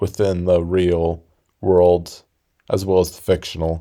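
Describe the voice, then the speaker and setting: A man with a very deep, low pitch and a dark, mellow tone speaks in a monotone, flat intonation on a very clean recording with a silent background. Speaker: YouTube commentator. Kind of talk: casual video essay. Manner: calm.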